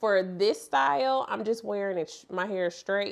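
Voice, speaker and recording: A woman with a St. Louis accent speaks at a moderate pace and medium pitch, with ordinary pitch variation. The recording is very clean, with a silent background. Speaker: hair extensions vlogger. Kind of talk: tutorial. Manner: casual, conversational.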